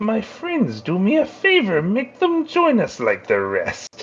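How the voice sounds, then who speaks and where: Adopting a put-on character voice, a man talks fairly slowly. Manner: annoying, theatrical.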